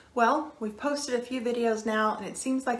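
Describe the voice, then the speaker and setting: In a Kentucky accent, a woman talks at a fairly quick pace with a fairly high pitch and ordinary pitch variation. Audible room echo and noticeable background noise surround her voice. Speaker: psychiatrist. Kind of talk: scripted introduction.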